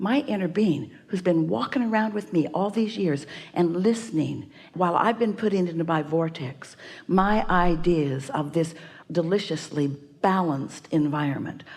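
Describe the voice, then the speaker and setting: A woman with an ordinary speaking voice, fairly low in pitch, with lively intonation at a moderate pace. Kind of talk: spiritual teaching / workshop talk.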